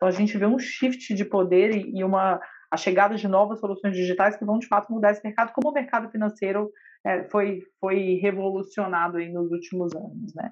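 A woman with an unremarkable speaking voice, medium pitch, fairly even intonation and a fairly quick pace, over a quiet background. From Brazil, Belo Horizonte. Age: 30s. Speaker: lawyer and health startup executive. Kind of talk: podcast interview.

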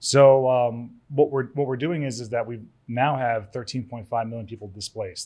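A man with an ordinary speaking voice, a fairly quick pace and ordinary pitch variation, against a quiet background. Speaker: real estate trainer and event organizer. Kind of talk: casual chat.

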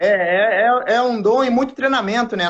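A man's voice at a fairly slow pace with ordinary pitch variation. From southern Brazil, Porto Alegre. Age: 40s. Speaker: former footballer. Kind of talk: casual interview. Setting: remote live stream.

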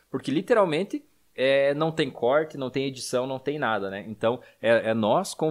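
Ordinary pitch variation from a man, captured on a very clean recording with a silent background. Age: 30s. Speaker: podcast host, financial educator. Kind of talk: casual chat.

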